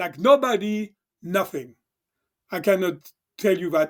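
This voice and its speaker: A man with a French accent speaks at a high pitch. The recording is very clean, the background silent. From southern France. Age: 60s. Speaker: chiropractor. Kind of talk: casual interview storytelling. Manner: halting, many fillers.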